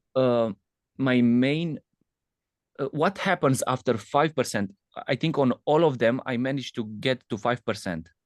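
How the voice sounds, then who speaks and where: A man with a non-native accent, medium pitch and a fairly slow pace. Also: dry, close sound with no echo. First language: not English. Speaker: trader attending a boot camp. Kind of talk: question in live Q&A. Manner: halting.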